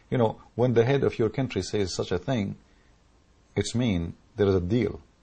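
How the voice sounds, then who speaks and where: A man with an Arabic accent, somewhat breathy, at a fairly low pitch and moderate pace. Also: long, frequent pauses. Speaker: political commentator. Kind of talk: political rant. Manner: animated.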